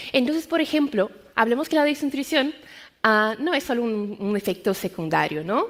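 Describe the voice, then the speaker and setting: Speaking at a moderate pace in a Brazilian accent, a woman with a high pitch makes very wide pitch swings on a very clean recording with a silent background. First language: Portuguese (speaking Spanish). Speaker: medical science liaison. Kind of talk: conference talk.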